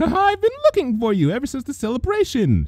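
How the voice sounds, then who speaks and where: A man puts on a character voice at an extremely high pitch. He goes at a fairly quick pace over light background noise. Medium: read story.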